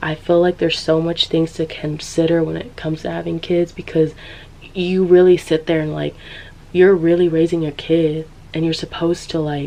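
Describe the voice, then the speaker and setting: With noticeable background noise behind her, a woman with an American accent speaks at a moderate pace in a fairly low pitch and a monotone, flat intonation. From San Diego, California. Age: 20s. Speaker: podcaster, social commentary creator. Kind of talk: casual commentary talk to camera.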